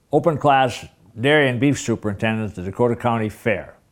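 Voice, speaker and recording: In an Upper Midwest accent, a man speaks at a medium pitch with ordinary pitch variation. The recording is very clean, with a silent background. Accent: Upper Midwest American. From Minnesota. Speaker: farmer and retired agriculture teacher. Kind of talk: interview. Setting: farmhouse kitchen. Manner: halting, frequent fillers.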